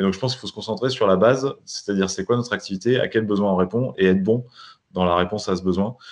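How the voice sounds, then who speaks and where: An unremarkable speaking voice with ordinary pitch variation moves at a fairly quick pace over a quiet background. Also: man. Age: 30s. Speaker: entrepreneur, newspaper cofounder. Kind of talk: interview.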